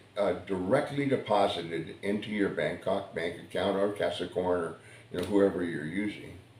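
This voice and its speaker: With an American accent, the speaker goes at a moderate pace with lively intonation, and audible room echo surrounds the voice. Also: man. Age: 70s. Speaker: vlogger. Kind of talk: casual monologue. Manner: halting, many fillers and repeats.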